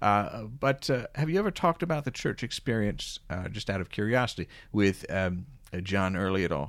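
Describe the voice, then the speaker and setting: A plain, everyday voice from a fairly low-pitched man, moderate in pace with lively intonation, on a very clean recording with a silent background. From Philadelphia suburbs. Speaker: podcast host. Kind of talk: casual interview chat.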